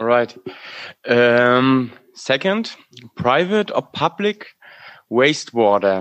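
With a German accent, a man at medium pitch talks at a very slow pace, using very wide pitch swings and long, frequent pauses. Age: 30s. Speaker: podcast co-host. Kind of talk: casual chat.

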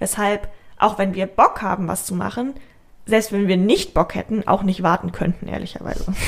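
Vocal fry marks this woman's medium-pitched voice as she talks at a moderate pace with fairly even intonation. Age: 20s. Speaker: podcast co-host. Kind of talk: casual chat.

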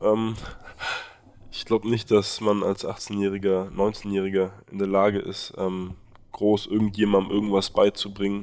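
Monotone, flat intonation at a moderate pace. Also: man. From Berlin, Germany. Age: 20s. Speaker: university student and aid volunteer. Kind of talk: interview. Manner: hesitant, many fillers.

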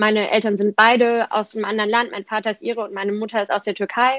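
Fairly high in pitch, a woman's voice holds a fairly even intonation. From Germany, Frankfurt area. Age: 20s. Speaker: politician and student activist. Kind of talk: casual interview. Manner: hesitant, many fillers.

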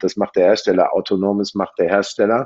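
A man is speaking. His pitch is fairly low. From Germany, Münster (Westphalia). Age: 40s. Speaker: car dealership executive. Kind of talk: interview. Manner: hesitant, many fillers.

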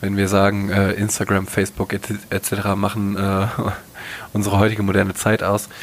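Noticeable background noise behind a moderately paced, fairly low-pitched male voice. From North Rhine-Westphalia, western Germany. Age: 20s. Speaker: podcast co-host. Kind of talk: casual chat.

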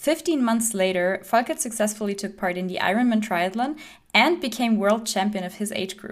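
On a very clean recording with a silent background, a woman with an ordinary speaking voice talks at a moderate pace, fairly high in pitch, with lively intonation. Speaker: podcast host. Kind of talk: podcast interview.

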